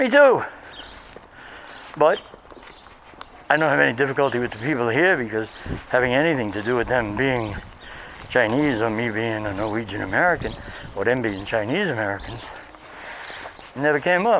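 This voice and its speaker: A man with a New York accent at a fairly quick pace, lively intonation, long and frequent pauses, and noticeable background noise. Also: medium pitch for a man. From Brooklyn, New York City. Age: 60s. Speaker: professor and vlogger. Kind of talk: casual walking vlog monologue. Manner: hesitant with fillers.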